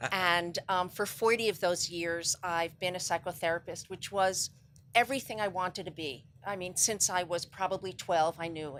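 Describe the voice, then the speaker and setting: A woman with an American accent speaks in a plain, everyday voice at a medium pitch and moderate pace, with ordinary pitch variation, in a very clean recording with a silent background. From New York City. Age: 60s. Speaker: psychotherapist and cancer charity founder. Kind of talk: interview.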